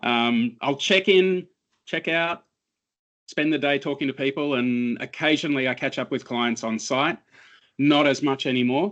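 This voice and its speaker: Against a quiet background, a man speaks with an Australian accent at a fairly high pitch. His pace is moderate, and his pitch variation is ordinary. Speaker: cybersecurity analyst. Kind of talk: interview.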